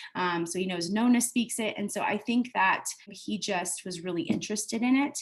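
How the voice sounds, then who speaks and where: This woman's voice comes across as somewhat breathy. She talks in an American accent. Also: medium pitch for a woman, ordinary pitch variation, moderate pace. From US, born in Italy. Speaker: homeschooling parent. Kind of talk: testimonial interview. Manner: casual, many filler words.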